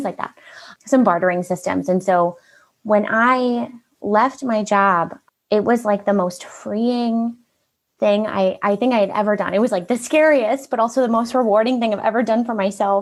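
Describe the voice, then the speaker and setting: Speaking at a moderate pace, a woman has a fairly high voice with ordinary pitch variation. Her tone is animated and upbeat. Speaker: marketing consultant, business owner. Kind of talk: interview, personal story. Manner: animated, upbeat.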